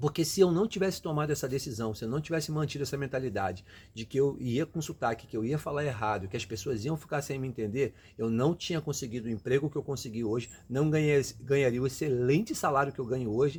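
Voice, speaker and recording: On a very clean recording with a silent background, a man with a medium-pitched, somewhat breathy voice speaks very fast, with ordinary pitch variation and hardly any pauses. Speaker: immigrant career vlogger. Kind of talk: motivational talk. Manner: casual, conversational; halting, repeats words.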